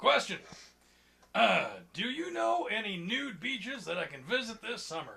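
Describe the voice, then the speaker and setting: A man uses a high-pitched, cartoonish character voice. He talks at a moderate pace with long, frequent pauses. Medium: puppet show. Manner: deadpan, blunt.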